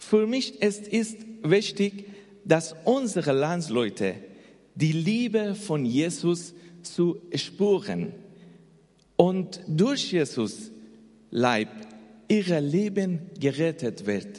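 A man's high voice at a very slow pace, with very wide pitch swings and long, frequent pauses. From Afghanistan. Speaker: missionary. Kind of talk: testimony. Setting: church.

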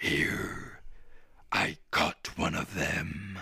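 A man's put-on character voice, very deep and low, gravelly and raspy

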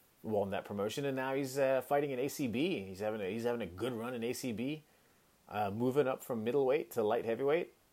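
In an American accent, a man talks with an animated tone at a medium pitch. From Hong Kong. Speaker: podcast host and kettlebell coach. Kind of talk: casual monologue.

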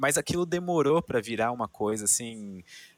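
Recorded dry and close with no echo, a man at a medium pitch speaks at a moderate pace with very wide pitch swings. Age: 20s. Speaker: science youtuber. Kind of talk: casual chat.

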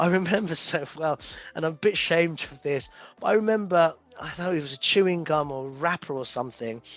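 This man talks at a fairly quick pace in a British accent, his pitch fairly high. His pitch varies in an ordinary way while his loudness swings widely. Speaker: events industry professional. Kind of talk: casual interview. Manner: halting.

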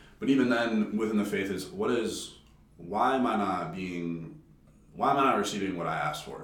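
Noticeable background noise sits under a man who speaks at a moderate pace with a fairly low pitch and lively intonation. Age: 20s. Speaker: college student. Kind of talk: casual chat.

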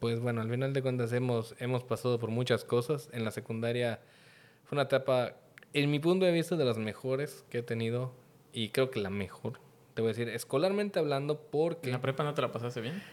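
A man speaks at a fairly quick pace in an ordinary speaking voice, medium in pitch with ordinary pitch variation. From Mexico, Yucatán (Mérida). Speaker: podcast guest. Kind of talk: casual chat.

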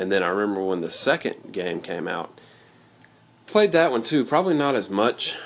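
At a moderate speed, the pitch goes up and down about as much as usual. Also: man.

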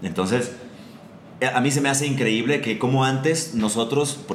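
Noticeable background noise and audible room echo both come through as a man talks. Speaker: podcast host. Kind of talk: casual chat.

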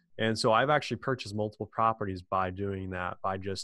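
A man with an American accent and a fairly low pitch, against a quiet background. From US Midwest, Illinois. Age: 20s. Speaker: podcast co-host, real estate investor. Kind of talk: interview, casual chat.

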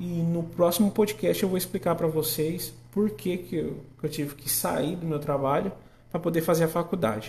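A man talks at a moderate pace, his high pitch showing ordinary pitch variation. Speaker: podcast host and agronomy student. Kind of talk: casual monologue. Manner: halting.

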